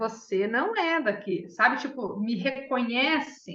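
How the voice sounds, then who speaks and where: Her voice is high-pitched, with a bright, sharp tone and very wide pitch swings. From Paraná, southern Brazil. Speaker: study group participant. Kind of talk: group discussion sharing.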